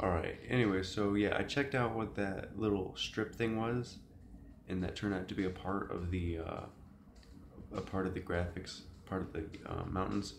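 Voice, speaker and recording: Noticeable background noise can be heard throughout. Over it, the speech keeps a moderate pace and fairly even intonation. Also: man, fairly low pitch for a man. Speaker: gamer. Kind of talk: casual gameplay commentary. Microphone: phone near.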